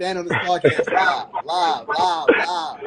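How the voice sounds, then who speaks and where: A man's voice over noticeable background noise. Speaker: podcast host. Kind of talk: casual chat.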